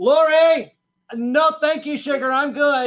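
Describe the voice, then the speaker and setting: A man's put-on character voice, nasal and extremely high-pitched, delivered at a fairly slow pace. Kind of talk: sermon. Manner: honky, nasal, exaggerated.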